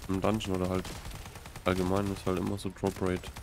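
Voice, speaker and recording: With noticeable background noise behind him, a man speaks at a moderate pace in a very deep, low pitch and a monotone, flat intonation. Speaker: gaming streamer. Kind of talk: live stream gameplay commentary. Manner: casual, laughs often.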